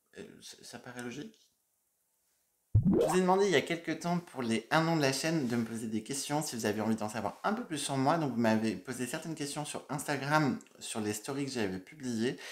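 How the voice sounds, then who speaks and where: A man with a medium pitch speaks at a moderate pace with lively intonation over music in the background. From Burgundy, France (Dijon). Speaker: makeup YouTuber. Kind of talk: casual Q&A vlog.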